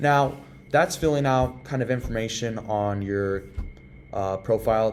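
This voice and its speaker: Here a man speaks at a medium pitch. His pitch varies in an ordinary way. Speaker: workplace tutorial presenter. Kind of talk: tutorial. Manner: fast; casual, with many fillers.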